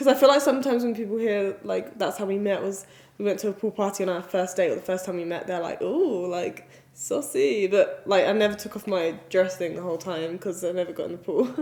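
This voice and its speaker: Noticeable noise runs behind a woman speaking with an English accent. She talks at a fairly quick pace with ordinary pitch variation. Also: medium pitch for a woman. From England. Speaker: vlogger. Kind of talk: casual chat.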